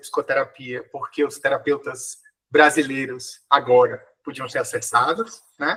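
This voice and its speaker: Bright and sharp in tone, a man's voice moves at a moderate pace. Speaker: psychologist and lecturer. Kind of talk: podcast interview. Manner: halting, many fillers.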